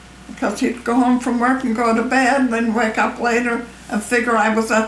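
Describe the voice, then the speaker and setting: Noticeable background noise sits behind a woman speaking at a moderate pace in a fairly high voice. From Ireland. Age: 80s+. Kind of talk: interview answer.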